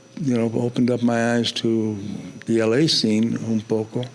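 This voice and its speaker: The loudness stays very even while noticeable background noise runs underneath. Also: man. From New York City, South Bronx. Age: 80s+. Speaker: photojournalist. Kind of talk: interview conversation. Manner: halting.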